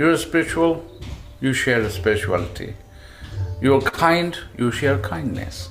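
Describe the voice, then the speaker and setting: Over music in the background and with audible room echo, a man speaks fairly slowly at a medium pitch, his pitch swinging very widely between long, frequent pauses. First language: not English. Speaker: tabla player. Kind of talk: interview.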